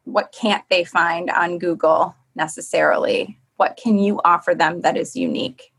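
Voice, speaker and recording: With a normal speaking voice, a woman talks at a moderate pace and medium pitch, her intonation lively and hardly any pauses in between. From Michigan. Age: 30s. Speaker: sports TV reporter. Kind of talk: casual interview chat.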